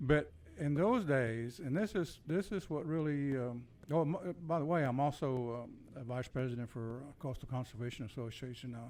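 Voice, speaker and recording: A man speaks at a medium pitch and a moderate pace, with a Texan accent. His pitch varies in an ordinary way, and the recording is very clean with a silent background. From Texas, Corpus Christi. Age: 70s. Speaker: army veteran. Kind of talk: casual interview chat. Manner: halting, many fillers.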